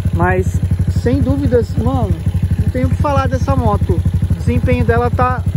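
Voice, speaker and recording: Moderate-paced male speech, dry with no echo, against loud background noise. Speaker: motorbike vlogger. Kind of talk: casual vlog chat. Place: open country. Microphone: phone near.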